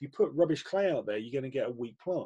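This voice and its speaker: A somewhat breathy voice with a dark, mellow tone comes at a fairly quick pace. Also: man. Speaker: coach / therapist. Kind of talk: webinar presentation. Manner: fast; halting, many repetitions and fillers.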